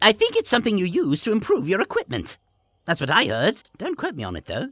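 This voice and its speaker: A put-on character voice at a very fast pace, with big swings in loudness. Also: man, high pitch for a man. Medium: machinima. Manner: polite, chatty, goofy.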